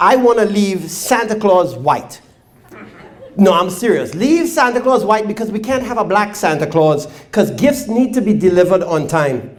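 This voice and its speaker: A high-pitched man at a moderate pace, lively intonation and audible room echo. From Trinidad. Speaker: stand-up comedian. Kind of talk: stand-up. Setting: stage with audience.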